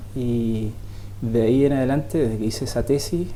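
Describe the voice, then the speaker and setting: A man with lively intonation at a moderate pace, plus audible room echo and noticeable background noise. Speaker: software developer in education. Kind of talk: TV interview. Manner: halting.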